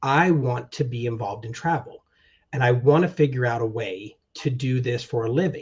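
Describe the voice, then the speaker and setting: A somewhat breathy man at medium pitch, moderate pace and ordinary pitch variation, over a quiet background. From military family, moved worldwide. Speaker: travel agency owner, army veteran. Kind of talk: interview.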